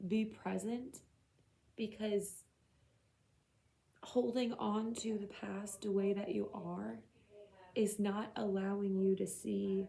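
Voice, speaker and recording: A woman's dark, mellow, somewhat breathy voice at a very slow pace. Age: 30s. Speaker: tarot reader. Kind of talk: tarot reading to camera. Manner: casual, conversational.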